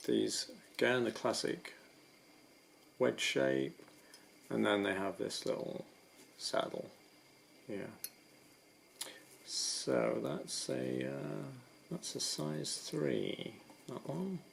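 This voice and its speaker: Through noticeable background noise, a man speaks at a very slow pace with long, frequent pauses. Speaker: rock climber. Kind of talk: ASMR gear description. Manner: soft-spoken.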